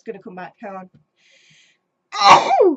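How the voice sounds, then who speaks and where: A woman with an English accent speaks at a very slow pace, her intonation lively. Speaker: gaming YouTuber. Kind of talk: casual chat. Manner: hesitant, many ums.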